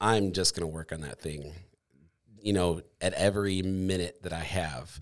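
On a very clean recording with a silent background, a man speaks at a moderate pace with a very deep, low pitch and ordinary pitch variation. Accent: Midwestern US. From Michigan. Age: 30s. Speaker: podcast host. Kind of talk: casual chat. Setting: studio.

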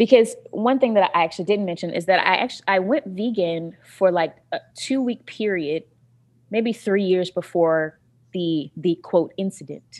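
Spoken at a moderate pace with an American accent, this is a normal speaking voice with ordinary pitch variation. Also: woman, medium pitch for a woman. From North Carolina, US South. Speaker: private chef and vegan food activist. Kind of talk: interview.

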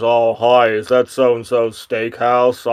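Using a put-on character voice, a man talks in a flat monotone at a medium pitch and a fairly slow pace. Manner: gruff, like a mob informant.

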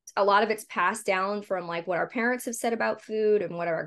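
With an American accent, a woman speaks at a fairly quick pace and medium pitch, her intonation fairly even. It is a normal speaking voice, set against a quiet background. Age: 30s. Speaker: meal delivery business owner. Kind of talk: interview. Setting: video call.

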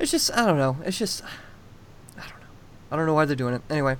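A man is speaking. His pitch sits fairly high for a man. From Massachusetts. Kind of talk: casual chat.

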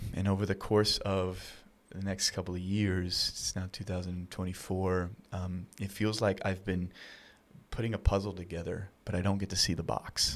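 This man's voice is very deep and low. He speaks in a monotone, with flat intonation. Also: moderate pace. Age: 30s. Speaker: nonprofit founder and outdoor mentor. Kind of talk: interview. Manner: halting.

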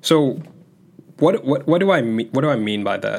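Pitched fairly high, a man talks in an ordinary speaking voice. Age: 20s. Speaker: self-improvement podcast host. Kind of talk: solo podcast monologue. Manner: casual, conversational.

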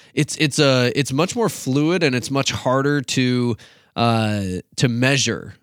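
Man at a very slow pace, with ordinary pitch variation and very even loudness, on a very clean recording with a silent background. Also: medium pitch for a man. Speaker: youth pastor podcast host. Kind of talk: casual conversational podcast chat.

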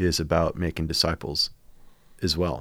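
In a very clean recording with a silent background, a man with a very deep, low pitch speaks with an American accent. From US Midwest. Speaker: senior pastor. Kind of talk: casual chat.

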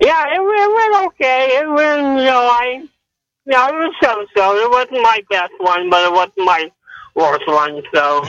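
Extremely high-pitched male voice with very wide pitch swings, at a fairly slow pace. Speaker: caller. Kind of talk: casual chat. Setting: in a car.

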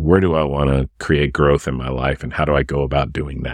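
Speaking at a moderate pace in a very deep, low pitch with vocal fry and fairly even intonation, a man is recorded with a dry, close sound and no echo. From moved around as military child; high school in Oklahoma. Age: 50s. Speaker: executive coach. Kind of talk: solo podcast monologue.

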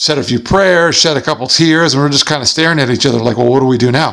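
This man has an ordinary speaking voice, pitched fairly high, with ordinary pitch variation. The recording is very clean, and the background is silent. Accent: American. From US, Long Island, New York. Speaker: motivational speaker. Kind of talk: interview.

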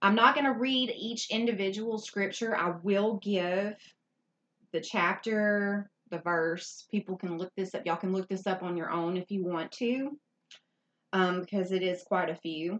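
An unremarkable speaking voice comes from a woman at a medium pitch. She holds a moderate pace with ordinary pitch variation. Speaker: podcast co-host. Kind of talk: casual chat.

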